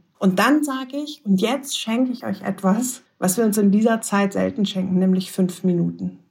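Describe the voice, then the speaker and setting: Somewhat breathy and at a medium pitch, a woman speaks with ordinary pitch variation and hardly any pauses. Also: moderate pace. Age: 40s. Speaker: lawyer and positive psychology lecturer. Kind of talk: interview.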